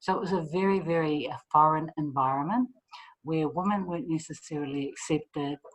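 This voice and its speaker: A woman talks at a fairly quick pace with a very deep, low pitch and fairly even intonation. She has a strong New Zealand accent. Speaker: PR consultant, former army officer. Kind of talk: commencement speech. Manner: fast.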